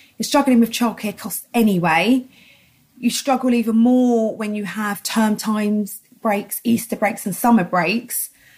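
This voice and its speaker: A woman talks fairly slowly in a fairly high pitch. Her voice is somewhat breathy, and her intonation stays fairly even. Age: 30s. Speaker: single mother. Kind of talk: interview.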